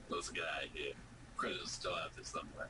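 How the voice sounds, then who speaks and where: Over loud background noise, a man uses a put-on character voice at a fairly quick pace. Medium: read story. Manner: brash, crude.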